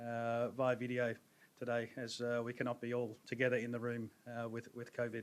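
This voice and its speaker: This man has an Australian accent and a medium pitch. He speaks at a moderate pace with monotone, flat intonation. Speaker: pharma business advisor. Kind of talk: seminar presentation. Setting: stage with audience. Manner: hesitant.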